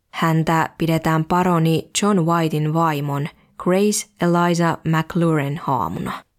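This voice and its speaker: Very slow and fairly low, a woman's voice holds very even loudness and fairly even intonation in a very clean recording with a silent background. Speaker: podcast host. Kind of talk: scripted narration.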